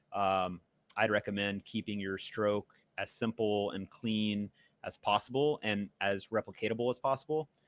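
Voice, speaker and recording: A man speaks in a fairly low voice with fairly even intonation. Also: moderate pace. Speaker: pickleball commentator. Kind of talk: live commentary. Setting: remote commentary over a muted broadcast. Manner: loud.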